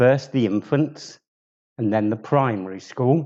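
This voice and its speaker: A man speaks with a southern English accent. His intonation is lively. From southern England, Bromley, Kent. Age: 70s. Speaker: community member telling his life story. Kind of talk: personal life story talk.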